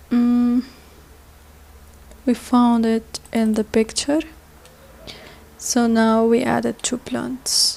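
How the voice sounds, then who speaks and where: A woman's fairly high voice with a non-native accent, very slow and monotone, broken by long, frequent pauses. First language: not English. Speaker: software tutorial instructor. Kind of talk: tutorial. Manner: halting.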